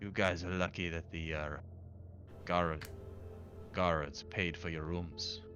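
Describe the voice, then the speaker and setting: A gruff, put-on character voice speaks at a fairly slow pace with long, frequent pauses. Clear music plays in the background. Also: man, very deep, low pitch for a man. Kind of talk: fantasy role-play. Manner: groaning, gruff.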